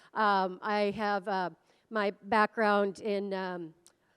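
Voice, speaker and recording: With an American accent, a woman at medium pitch is heard in a dry, close sound with no echo on a very clean recording with a silent background. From US Midwest, northern Minnesota. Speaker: automation program lead. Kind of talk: conference presentation. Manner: loud; energetic.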